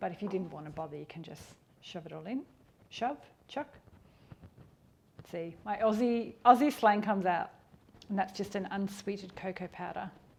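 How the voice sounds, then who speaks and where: The speaker has an Australian accent and lively intonation. The pace is fairly quick. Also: woman. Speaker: cooking youtuber. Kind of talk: cooking tutorial. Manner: fast; casual.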